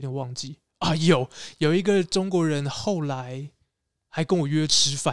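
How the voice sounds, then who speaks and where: With a Taiwanese accent, a man talks at a fairly slow pace in a fairly high pitch with ordinary pitch variation and long, frequent pauses, the sound dry and close with no echo. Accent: Taiwanese Mandarin. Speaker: former graduate student and street performer. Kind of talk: casual chat.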